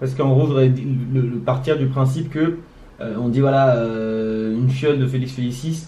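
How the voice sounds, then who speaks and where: Through audible room echo and noticeable background noise, a man speaks at a moderate pace and medium pitch with fairly even intonation. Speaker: musician and songwriter. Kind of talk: casual chat.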